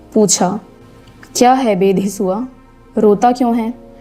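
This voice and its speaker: Music plays in the background as a woman talks. Her pitch is medium and her intonation fairly even. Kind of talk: audiobook narration of a classic short story.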